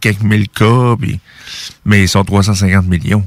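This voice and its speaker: This voice has a Quebec accent. Its pitch variation is ordinary. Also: man. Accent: Québécois French. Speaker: radio host. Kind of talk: commentary monologue.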